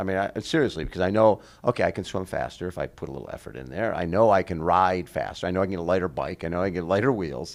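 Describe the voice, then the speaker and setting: A man with a very deep, low pitch and vocal fry talks at a very fast pace. He leaves hardly any pauses and has ordinary pitch variation. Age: 70s. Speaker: triathlon show host. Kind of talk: casual interview.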